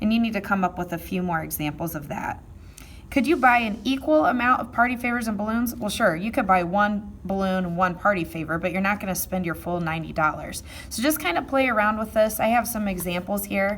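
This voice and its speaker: A woman's normal speaking voice, medium-pitched, with lively intonation and a fairly quick pace. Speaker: math teacher. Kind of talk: tutorial.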